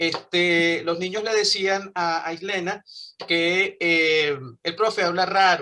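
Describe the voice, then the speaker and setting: Speaking at a very slow pace, a man has a high pitch and a bright, sharp tone. His intonation is fairly even. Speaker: English teacher. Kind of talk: online class.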